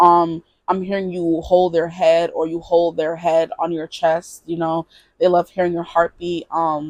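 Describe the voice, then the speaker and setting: A woman at a fairly low pitch in a dry, close sound with no echo. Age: 20s. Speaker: tarot reader. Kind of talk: tarot reading. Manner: fast; stuttering.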